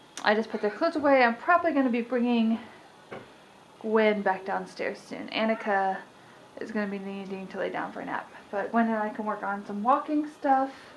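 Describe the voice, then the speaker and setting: Noticeable background noise surrounds a woman's fairly high voice. She speaks at a fairly quick pace with ordinary pitch variation. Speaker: stay-at-home mom vlogger. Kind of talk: casual vlog talk to camera. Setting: at home. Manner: fast.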